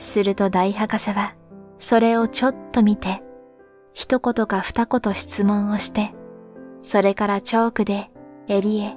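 Over music in the background, a woman speaks at medium pitch with flat, monotone intonation, a fairly slow pace and long, frequent pauses. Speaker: sleep story reader. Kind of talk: sleep story reading, calm literary narration.

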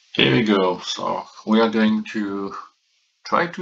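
A very slow, bright, sharp-toned voice with a non-native accent. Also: man. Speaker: former chip architect at a processor company. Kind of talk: technical lecture to camera. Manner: casual, hesitant.

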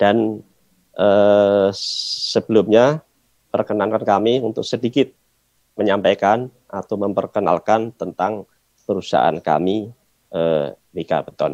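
In a quiet background with a dry sound and no echo, a man speaks at a very slow pace in a fairly low pitch with ordinary pitch variation. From Indonesia. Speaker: company engineering manager; presenter. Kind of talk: formal opening remarks. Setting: video call. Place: office. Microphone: video call.

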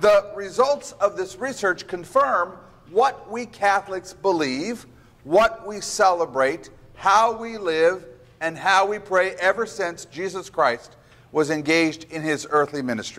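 The voice moves at a fairly slow pace with lively intonation. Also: man, high pitch for a man. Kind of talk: lecture. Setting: stage with audience. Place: hall. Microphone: lapel.

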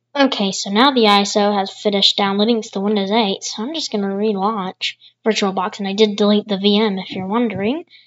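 At a medium pitch and a moderate pace, a woman talks in an ordinary speaking voice. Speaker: tech YouTuber. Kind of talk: screen-recorded tutorial commentary.

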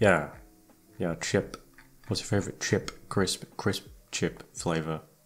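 A man with a British accent speaks at a very slow pace with long, frequent pauses. His pitch is very deep and low, with ordinary variation. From United Kingdom. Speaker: ASMR voice actor. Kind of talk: casual chat.

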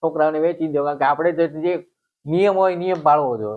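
A man's unremarkable speaking voice, fairly high in pitch, with fairly even intonation. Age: 60s. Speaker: herbal remedy healer. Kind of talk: interview.

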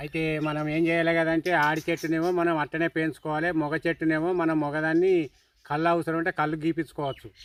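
In a dry, close sound with no echo, a man speaks at a fairly high pitch in a monotone, flat delivery with very even loudness. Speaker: farmer. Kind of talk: casual chat.

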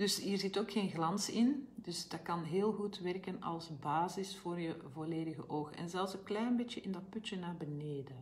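A woman speaks at a fairly slow pace with hardly any pauses. Her pitch variation is ordinary. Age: 50s. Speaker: health coach and brand ambassador. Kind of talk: live make-up tutorial. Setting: live video stream. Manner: chatty, informal. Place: home room. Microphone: phone near.

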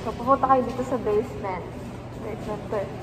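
A woman amid noticeable background noise. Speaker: vlogger. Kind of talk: casual vlog chat. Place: shop. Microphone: phone near.

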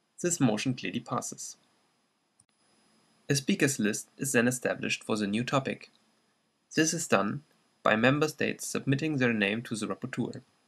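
Against a quiet background, a man with a slight German accent talks at a moderate pace and medium pitch, showing ordinary pitch variation and long, frequent pauses. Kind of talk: educational explainer narration.

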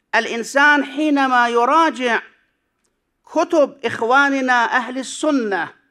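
Against a quiet background, a man with an extremely high pitch projects a raised voice in a bright, sharp tone, speaking at a very slow pace with ordinary pitch variation. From Iraq. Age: 60s. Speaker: cleric and seminary professor; seminary professor. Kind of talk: conference paper presentation. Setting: conference hall with audience. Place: hall. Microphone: podium.

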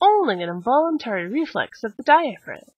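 Her voice is high-pitched, with very wide pitch swings. The woman keeps a moderate pace, and the sound is dry with no echo. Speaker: mock infomercial presenter. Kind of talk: infomercial-style demonstration. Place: home room.

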